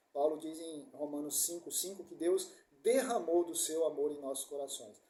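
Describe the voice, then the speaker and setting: A man speaks in a dark, mellow tone at a fairly high pitch and a moderate pace. His pitch varies in an ordinary way while his loudness swings widely. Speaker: preacher. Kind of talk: sermon.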